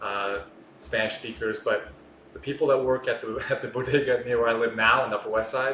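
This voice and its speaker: Speaking with an American accent at a very fast pace, a man keeps his intonation fairly even over noticeable background noise. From North Carolina, US. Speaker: journalist. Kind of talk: casual chat. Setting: in-person podcast in Miami.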